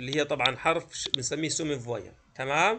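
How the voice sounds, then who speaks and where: A man's voice over noticeable background noise. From Palestine, Gaza; Palestine. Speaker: French teacher. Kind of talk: lecture. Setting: video call. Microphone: video call.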